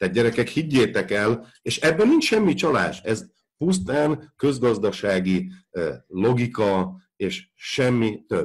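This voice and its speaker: Very slowly, a man speaks in a somewhat breathy voice. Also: medium pitch for a man, lively intonation. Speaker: football podcast co-host, banking professional. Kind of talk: explanatory discussion. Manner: halting, many filler sounds.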